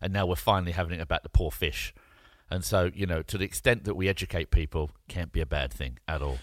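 Very fast speech from a man with a very deep, low pitch, vocal fry and ordinary pitch variation, on a very clean recording with a silent background. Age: 40s. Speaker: entrepreneur and podcast co-host. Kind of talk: casual chat.

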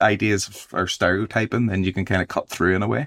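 On a very clean recording with a silent background and a dry, close sound with no echo, a man with a Belfast accent and a very deep, low pitch speaks at a fairly quick pace with ordinary pitch variation. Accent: Belfast Northern Irish. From Northern Ireland. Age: 30s. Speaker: novelist. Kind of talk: interview.

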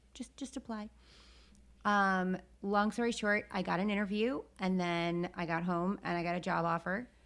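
A woman speaks in a normal speaking voice with an American accent. Her pitch is medium, her pace moderate and her intonation fairly even. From upstate New York. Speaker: podcast co-host. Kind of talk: casual chat.

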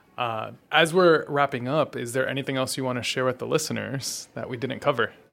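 Speaking at a fairly quick pace, a man uses a medium pitch, vocal fry and fairly even intonation. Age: young. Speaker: podcast host. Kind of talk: interview. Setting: live event.

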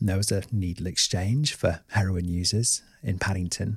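In a southern English accent, a man speaks with a very deep, low pitch, ordinary pitch variation and a somewhat breathy sound, in a very clean recording with a silent background. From Oxford, southern England. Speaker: therapist. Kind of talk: podcast monologue.

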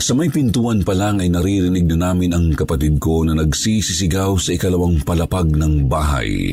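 Music plays behind a man with a very deep, low voice. His loudness stays very even. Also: ordinary pitch variation, hardly any pauses. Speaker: storyteller reading listener-submitted ghost stories. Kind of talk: ghost story telling, spooky first-person narration. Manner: hushed, slow, suspenseful, dramatic; earnest, polite.

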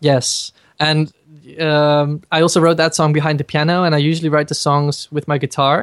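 Nothing much stirs in the quiet background. The delivery is fairly slow. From Netherlands. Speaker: singer. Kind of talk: interview.

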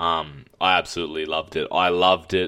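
The recording is very clean and the background silent. A man talks in an Australian accent. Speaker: podcast co-host, film reviewer. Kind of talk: casual chat.

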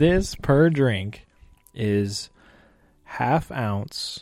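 Here a man speaks at a medium pitch. His tone is playful and his intonation lively. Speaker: guest, YouTube creator. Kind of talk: casual chat. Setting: on location in an Irish pub. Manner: joking, playful.

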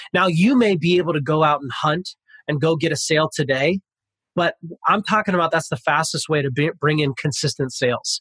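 With an American accent, a man talks at a fairly quick pace and a fairly high pitch. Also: ordinary pitch variation. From Pasadena, California. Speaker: motivational speaker and author. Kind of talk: interview. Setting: office.

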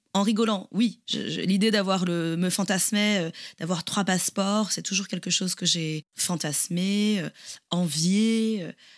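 The woman's speech is very slow. Her intonation is fairly even. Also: medium pitch for a woman. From France, Toulouse. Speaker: podcast co-host. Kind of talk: casual chat. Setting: remote call.

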